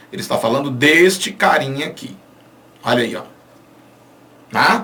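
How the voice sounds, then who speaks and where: Swinging his pitch very widely, a man speaks in an animated tone with audible room echo. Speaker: Portuguese language teacher. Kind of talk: online lecture.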